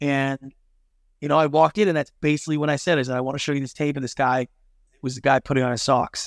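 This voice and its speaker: In a Canadian accent, a man speaks very fast at a fairly high pitch with fairly even intonation, on a very clean recording with a silent background. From Canada. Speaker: television producer and business consultant. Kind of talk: interview.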